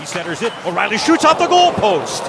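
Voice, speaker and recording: A man's pitch swings very widely as he talks fairly quickly, with noticeable noise in the background. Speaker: radio play-by-play announcer. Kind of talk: live radio sports commentary, play-by-play. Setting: radio broadcast booth at arena. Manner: fast, fluent, rapid-fire puck-tracking; energetic but steady, informative.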